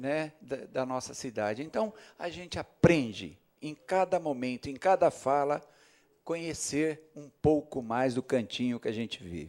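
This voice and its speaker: This man's fairly high voice shows big swings in loudness. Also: fairly slow pace. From São Paulo state, Osasco. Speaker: city councillor. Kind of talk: ceremonial speech. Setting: council chamber. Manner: halting.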